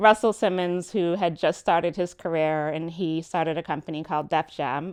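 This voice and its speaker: Speaking in an American accent with a normal speaking voice, a woman talks at a fairly low pitch and a moderate pace, with fairly even intonation. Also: quiet background. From New York. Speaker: music business consultant. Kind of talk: lecture.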